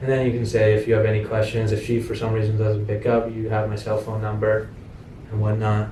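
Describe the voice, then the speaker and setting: A man's fairly low voice comes through with audible room echo. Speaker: real estate investor training his acquisitions team. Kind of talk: sales training role-play. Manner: fast; casual, filler-heavy.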